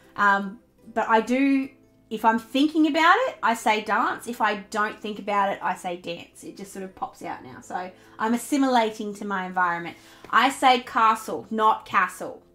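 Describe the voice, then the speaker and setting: Over music in the background, a woman with a fairly high pitch talks at a moderate pace, her intonation lively and her loudness swinging widely. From South Australia. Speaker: planner YouTuber. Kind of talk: casual live stream chat. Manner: chatty, many fillers.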